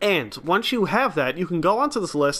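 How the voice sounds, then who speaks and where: Pitched high, a man's voice moves along at a fairly quick clip. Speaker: gaming YouTuber. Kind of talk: game guide narration. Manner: casual.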